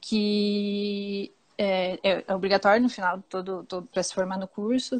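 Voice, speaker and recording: A woman with a southern Brazilian accent speaks at a fairly slow pace. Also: quiet background. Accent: gaúcho (southern Brazilian). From Rio Grande do Sul, southern Brazil. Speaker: pastry chef. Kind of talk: casual interview chat.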